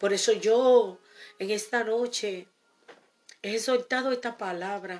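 With music in the background, a woman speaks very slowly in a fairly high, warm voice, using fairly even intonation and long, frequent pauses. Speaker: preacher. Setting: radio recording studio. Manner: fervent, earnest and warm; declarative, repeating key phrases with pious exclamations.

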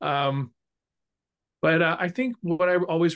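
In a dry, close recording with no echo, a man talks at a moderate pace in an unremarkable speaking voice. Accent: American. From California. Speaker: musical arranger and orchestrator. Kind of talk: casual interview chat.

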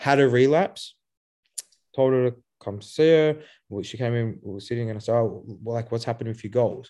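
An Australian-accented man speaks at a medium pitch and a fairly quick pace, with long, frequent pauses. His loudness swings widely against a quiet background. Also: ordinary pitch variation. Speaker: author and youth addiction mentor. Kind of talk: podcast interview. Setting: video call. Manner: hesitant, many fillers.

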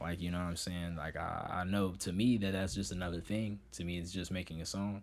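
A man with an American accent talks at a fairly quick pace with hardly any pauses. His voice is very deep and low, and room echo is audible. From US Midwest (Oak Park, Illinois). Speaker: rapper. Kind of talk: casual interview chat. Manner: halting, many repetitions and fillers.

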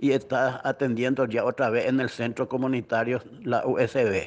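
This man's voice sits at a medium pitch and moves at a fairly slow pace. The background is quiet. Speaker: neighborhood community representative. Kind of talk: interview testimony. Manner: halting, with fillers.

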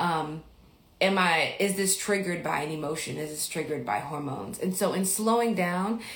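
In a room with audible echo, a woman with an American accent speaks at a moderate pace. Her voice is fairly low and somewhat breathy, with ordinary pitch variation. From Mississippi, US South. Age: 40s. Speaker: podcast host and life coach. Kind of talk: casual livestream Q&A. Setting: Instagram livestream.

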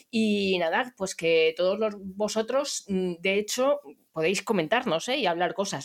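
A woman's plain, everyday voice, at a moderate pace, with lively intonation. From Barcelona, Spain. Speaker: podcast host, digital sales consultant. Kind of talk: casual chat.

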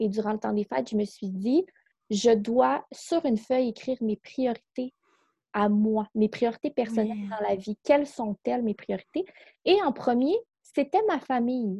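In a Quebec accent, a somewhat breathy voice with a dark, mellow tone speaks at a fairly slow pace with lively intonation, the sound dry and close with no echo. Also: woman, fairly high pitch for a woman. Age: 20s. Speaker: psychosocial worker and coach. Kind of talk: casual interview.

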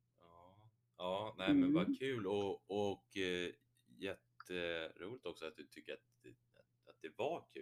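At a very slow pace, a man speaks with long, frequent pauses. His loudness swings widely. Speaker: podcast host. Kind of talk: casual interview.

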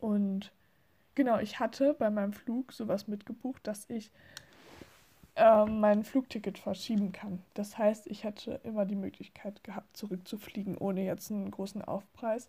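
This woman's voice sits fairly high and sounds somewhat breathy. Her intonation stays fairly even. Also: moderate pace. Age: 20s. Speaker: podcaster. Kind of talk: casual monologue. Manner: hesitant, many fillers.

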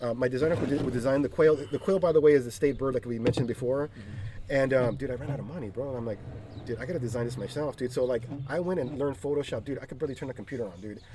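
Against noticeable background noise, a man with a medium pitch and an American accent talks at a very fast pace with ordinary pitch variation. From East Los Angeles, California. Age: 40s. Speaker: craft brewery owner. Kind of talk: casual chat.

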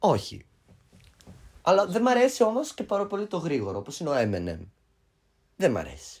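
A man talks at a moderate pace. His speech has long, frequent pauses. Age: 20s. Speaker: podcast co-host. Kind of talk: casual chat. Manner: loud. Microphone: cheap mics, sounds a bit bad.

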